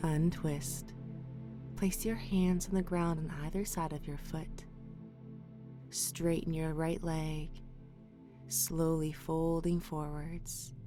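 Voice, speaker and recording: A woman's very deep, low voice, calm and fairly even, very slow with long, frequent pauses, with music in the background and audible room echo. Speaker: yoga instructor. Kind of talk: guided yoga class. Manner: calm, clear instructions.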